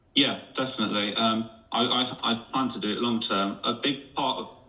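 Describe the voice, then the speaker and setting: Noticeable background noise runs through the recording. The man's voice sits at a medium pitch. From West Midlands, Dudley. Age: 30s. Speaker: amateur footballer in a weight-loss league. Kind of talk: radio interview.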